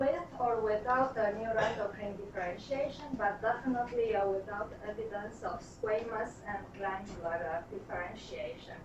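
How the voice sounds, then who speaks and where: A woman with a Romanian accent talks at a moderate pace and a fairly high pitch with fairly even intonation and hardly any pauses, amid noticeable background noise. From Romania (Transylvania). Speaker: pathologist. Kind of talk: lecture. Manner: frequent filler hesitations.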